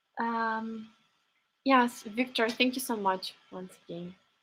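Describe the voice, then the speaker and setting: In a very clean recording against a silent background, a woman speaks very slowly with fairly even intonation and big swings in loudness. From Ukraine (Kyiv). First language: Ukrainian. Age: 20s. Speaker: live stream host. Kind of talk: live stream chat. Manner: halting, many fillers.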